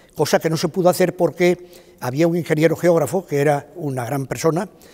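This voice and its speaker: A man talks at a fairly quick pace in a fairly high pitch with ordinary pitch variation, against noticeable background noise. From Spain, Málaga. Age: 80s+. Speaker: retired cartographer, former director of a geographic institute. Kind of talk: interview testimony. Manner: halting, with frequent fillers.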